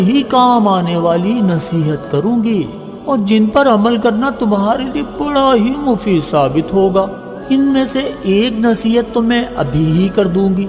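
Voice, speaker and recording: Lively intonation with music in the background. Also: man. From Pakistan. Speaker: voice over artist. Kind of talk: moral story narration.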